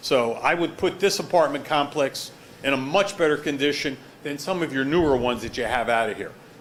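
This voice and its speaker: Fairly quick and fairly high-pitched, a man speaks with ordinary pitch variation amid audible room echo. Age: 70s. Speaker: property owner and surgeon. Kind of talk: testimony at a town board hearing. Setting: town hall meeting. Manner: animated.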